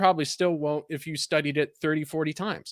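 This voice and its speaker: A man speaks with a Californian accent at a fairly high pitch. The sound is dry and close, with no echo. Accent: California. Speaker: content creator and writer. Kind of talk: casual interview chat. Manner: animated.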